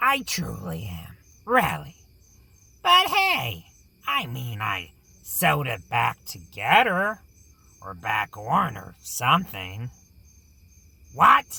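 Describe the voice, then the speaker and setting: Using a put-on character voice, a man speaks at a very slow pace and medium pitch, with long, frequent pauses. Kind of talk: horror radio show hosting. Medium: audio drama.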